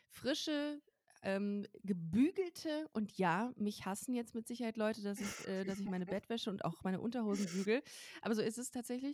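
Here is a woman with an unremarkable speaking voice and lively intonation. She talks at a moderate pace in a dry, close sound with no echo. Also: fairly high pitch for a woman. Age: 30s. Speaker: comedy writer and podcast host. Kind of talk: casual chat.

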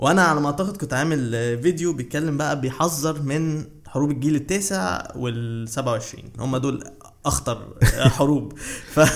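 Speaking at a fairly slow pace, a man uses an ordinary speaking voice, fairly high in pitch, with ordinary pitch variation. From Egypt, raised partly in Saudi Arabia and Bahrain. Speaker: journalist and political commentator. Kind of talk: interview.

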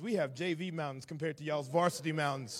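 A man with a Southern US accent, in a very clean recording with a silent background. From Atlanta, Georgia, US South. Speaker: visiting preacher. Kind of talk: sermon. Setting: church.

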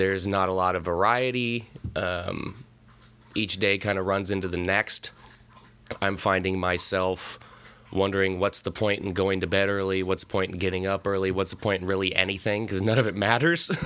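A man speaks with a Pacific Northwest accent in a very deep, low voice at a moderate pace. His tone is bright and sharp, and his intonation stays monotone and flat. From US Pacific Northwest, Central Washington. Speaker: podcast host, movie commentator. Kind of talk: casual solo movie commentary.

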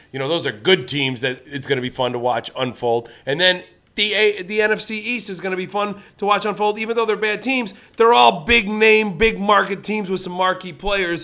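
A man with an American accent speaks in a raised, projected voice at a moderate pace. His tone is bright and sharp, his pitch is high, and his intonation is lively. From Ohio, Lorain near Cleveland. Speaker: comedian. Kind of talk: casual chat.

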